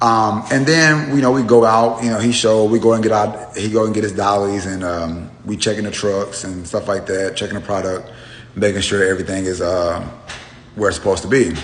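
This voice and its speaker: A man talks at a fairly quick pace in a fairly low pitch with ordinary pitch variation. Noticeable background noise and audible room echo surround him. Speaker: truck driver, social media storyteller. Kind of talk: casual storytelling monologue. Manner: hesitant, many fillers.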